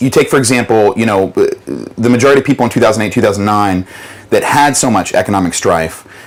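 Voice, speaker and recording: Clearly audible background noise behind a man's fairly quick speech of ordinary pitch variation. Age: 30s. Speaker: debt mediation business owner. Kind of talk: interview testimony. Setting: on a yacht.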